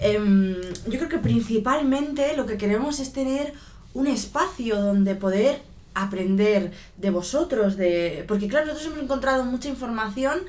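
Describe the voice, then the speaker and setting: With audible room echo, a woman speaks at a moderate pace in a fairly high voice with lively intonation. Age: 30s. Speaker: podcast co-host. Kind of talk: casual chat.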